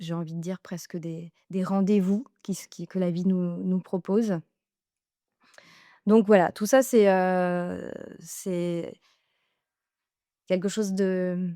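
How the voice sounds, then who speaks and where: Very slow and full of long, frequent pauses, a woman speaks at a medium pitch with a dark, mellow tone and fairly even intonation. Her loudness swings widely, and the recording is very clean, dry and close, with a silent background and no echo. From France, Lucé near Chartres. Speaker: vocal coach. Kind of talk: interview. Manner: hesitant, many fillers.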